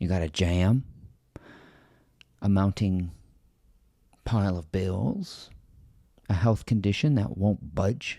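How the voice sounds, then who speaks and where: A man's dark, mellow voice, fairly low in pitch, at a very slow pace with long, frequent pauses and ordinary pitch variation. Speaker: spiritual video creator and author. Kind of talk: reflective monologue.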